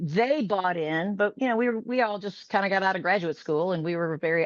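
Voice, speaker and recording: A woman with an American accent and an unremarkable speaking voice talks at a moderate pace in a medium pitch with lively intonation, in a dry, close sound with no echo against a quiet background. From US Midwest, Chicago northern suburbs. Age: 60s. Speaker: fitness studio owner. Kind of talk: interview.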